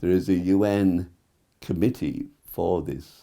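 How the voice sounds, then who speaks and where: The man's voice has a very deep, low pitch and a dark, mellow tone. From South Wales. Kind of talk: interview. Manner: halting.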